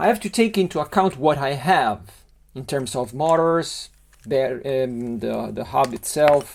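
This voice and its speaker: Lively intonation marks this man's fairly high voice as he speaks at a fairly slow pace with an Italian accent. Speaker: LEGO model designer. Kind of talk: tutorial. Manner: halting.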